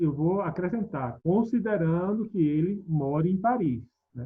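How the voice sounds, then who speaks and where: This is a man with a high-pitched voice. He speaks at a fairly slow pace. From Pernambuco, northeast Brazil. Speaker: tax expert speaker. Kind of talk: webinar lecture. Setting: online webinar. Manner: conversational, with fillers.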